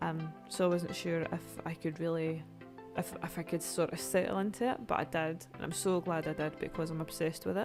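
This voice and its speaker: With music in the background, a woman with a Scottish accent speaks fairly quickly in a fairly low pitch with ordinary pitch variation. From Scotland. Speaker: gamer. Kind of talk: casual gameplay commentary.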